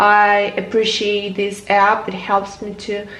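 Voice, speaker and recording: Against noticeable background noise and audible room echo, a woman with a Ukrainian accent speaks at a fairly high pitch. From Ukraine. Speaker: vlogger. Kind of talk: casual chat.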